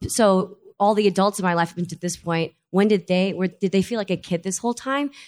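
An ordinary speaking voice from a woman at a fairly quick pace with hardly any pauses, in a very clean recording with a silent background and a dry, close sound with no echo. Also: medium pitch for a woman, ordinary pitch variation. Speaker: stage actress. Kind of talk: live panel interview. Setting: live event with audience.

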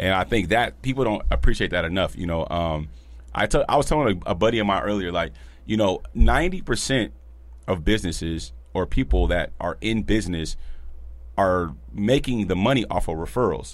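A man's very deep, low voice with vocal fry, very wide pitch swings and a fairly quick pace. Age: 30s. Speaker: podcast host and barber. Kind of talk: casual chat. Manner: animated.

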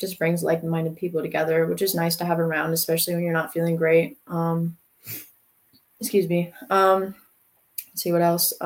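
This woman has an ordinary speaking voice with an American accent. Her pitch is fairly low and her intonation fairly even. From North Carolina. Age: young. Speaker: college student and CrossFit athlete. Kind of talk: interview.

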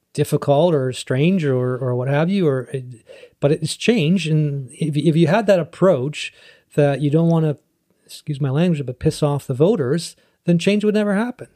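A man with a Western Canadian accent, fairly high in pitch with a dark, mellow tone, ordinary pitch variation and a moderate pace, in a dry, close sound with no echo. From Canada, North Vancouver. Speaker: city councillor. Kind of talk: casual interview. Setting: in person.

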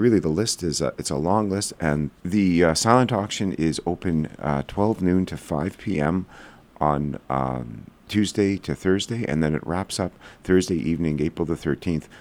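Against a silent background on a very clean recording, a man with a Canadian accent speaks at a very deep, low pitch and moderate pace with ordinary pitch variation. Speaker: community news coordinator. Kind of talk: radio interview. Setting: studio.

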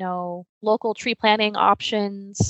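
The voice carries an American accent and a monotone, flat intonation. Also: woman. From Washington coast, US Pacific Northwest. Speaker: natural resources media consultant and DEI advocate. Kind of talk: interview. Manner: hesitant, many fillers.

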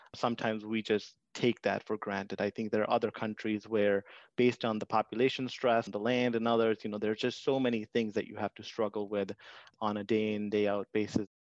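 In an Indian accent, a man talks at a fairly quick pace with a fairly low pitch and monotone, flat intonation, the sound dry and close with no echo and the background quiet. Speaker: IT section head, immigrant.

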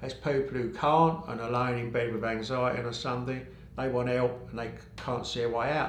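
A man with an English accent, medium-pitched and monotone in flat intonation, at a moderate pace, with audible room echo and noticeable background noise. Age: 50s. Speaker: sobriety coach. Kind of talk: casual chat.

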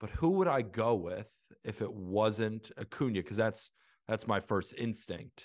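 Against a quiet background, a man with an American accent and an unremarkable speaking voice talks at a fairly slow pace with a fairly low pitch and ordinary pitch variation. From Santa Barbara, California. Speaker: baseball content creator and writer. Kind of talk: casual interview chat.

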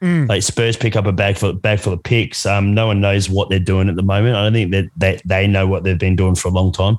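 With an Australian accent, a man talks at a fairly quick pace with hardly any pauses, very even loudness and fairly even intonation. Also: fairly low pitch for a man. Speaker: guest basketball fan.

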